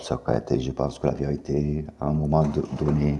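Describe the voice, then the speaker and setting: A man speaks at a fairly slow pace in a very deep, low voice, with noticeable background noise. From US South, Mississippi. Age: 50s. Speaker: YouTuber making claims about secret affairs. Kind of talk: monologue to camera. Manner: halting.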